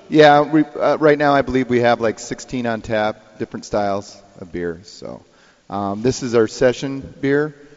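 At a moderate pace, a man delivers his words in an ordinary speaking voice of medium pitch, the pitch varying in an ordinary way while the loudness swings widely. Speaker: brewer. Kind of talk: radio interview. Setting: studio.

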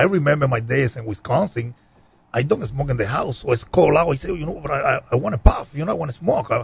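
In a Cuban accent, a somewhat breathy voice races at a very fast pace with lively intonation. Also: man, fairly high pitch for a man. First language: Spanish. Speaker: cigar brand owner. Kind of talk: casual interview chat.

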